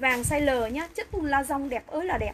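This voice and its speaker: A woman speaks at a high pitch in an animated tone. Noticeable background noise can be heard. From Vietnam, Bảo Lộc, Lâm Đồng (Central Highlands); Vietnam. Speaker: online clothing seller. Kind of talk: live sales pitch. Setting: livestream. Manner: fast. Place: shop. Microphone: phone near.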